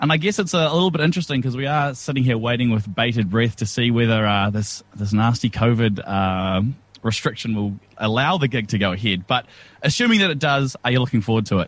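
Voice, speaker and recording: Very fast speech from a man at medium pitch, with lively intonation and very even loudness. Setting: studio link with interview over Zoom. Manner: laughing and self-deprecating, jokes about his own on-air slip-up.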